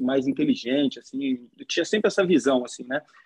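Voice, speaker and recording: This man speaks with a Carioca accent and lively intonation. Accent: carioca Brazilian Portuguese. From Rio de Janeiro, Brazil. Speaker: podcaster. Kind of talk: casual chat.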